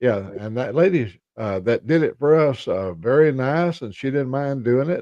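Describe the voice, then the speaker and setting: A man talks at a moderate pace with hardly any pauses, his pitch medium and his tone dark and mellow. His intonation is lively. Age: 80s+. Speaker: motorcycle vlogger and ham radio operator. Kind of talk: casual chat.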